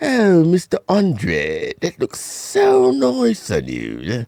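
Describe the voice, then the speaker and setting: A man drags out a put-on character voice at a very slow pace. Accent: British. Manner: sweetly complimenting.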